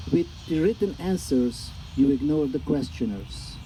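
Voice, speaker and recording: With a Hungarian accent, a man speaks fairly slowly at a fairly high pitch, his pitch swinging very widely. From Hungary. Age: 60s. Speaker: poet. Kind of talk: poetry reading. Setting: live reading with audience.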